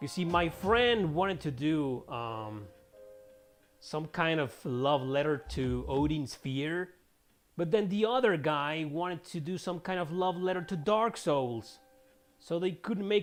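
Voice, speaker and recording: A man with a non-native accent speaks fairly slowly at a fairly high pitch. His intonation is lively, and the background is quiet. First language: Spanish. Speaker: gaming streamer and writer. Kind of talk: casual gameplay commentary. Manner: casual, chatty.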